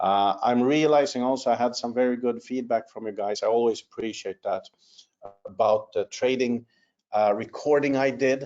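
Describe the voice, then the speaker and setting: A man talks at a medium pitch with ordinary pitch variation while music plays in the background. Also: moderate pace. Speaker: company executive presenting a webinar. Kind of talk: webinar update with Q&A. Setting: online webinar. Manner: many fillers and hesitations.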